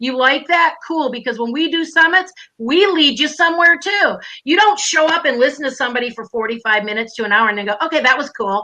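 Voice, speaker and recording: A woman's raised, projected voice in a Minnesotan accent, high-pitched, bright and sharp in tone, with an animated tone, lively intonation and a very fast pace. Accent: Minnesota. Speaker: online business coach. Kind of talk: live stream interview. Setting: live stream video call.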